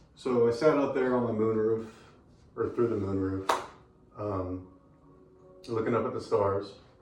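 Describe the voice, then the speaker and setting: Amid noticeable background noise and audible room echo, a man speaks at a fairly slow pace with fairly even intonation. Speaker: eyewitness telling a personal experience. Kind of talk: personal storytelling, stream of consciousness. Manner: rambling, hesitant with many fillers.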